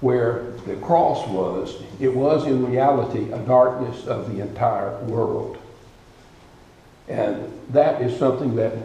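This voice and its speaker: A man speaks at a very slow pace with fairly even intonation. Room echo is audible. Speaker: guest preacher. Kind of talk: sermon. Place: church. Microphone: podium.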